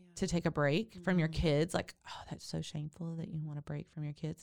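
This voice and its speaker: A woman with a Texan accent speaks in a very deep, low pitch, her tone animated and her pace fairly quick. The recording is very clean, with a silent background. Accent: Texan Southern US. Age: 50s. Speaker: doula and podcast host. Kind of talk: casual interview chat. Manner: animated, laughs often.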